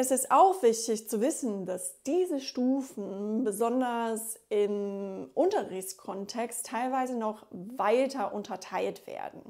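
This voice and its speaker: A woman with a fairly high voice speaks at a very slow pace with lively intonation and hardly any pauses. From USA. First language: English (speaking German). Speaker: German teacher and linguist. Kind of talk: tutorial.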